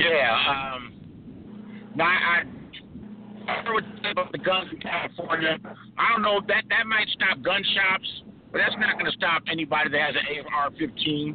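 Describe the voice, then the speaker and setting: A man with a high pitch and ordinary pitch variation, over noticeable background noise. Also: fairly slow pace. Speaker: caller. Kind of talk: call-in discussion. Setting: in a car. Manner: laid-back.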